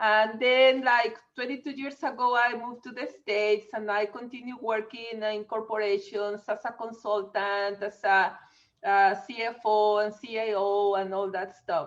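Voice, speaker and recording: In a Mexican accent, a woman speaks at a fairly slow pace. Her pitch is fairly high and her intonation fairly even. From Mexico. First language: Spanish. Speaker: business coach. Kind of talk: podcast interview.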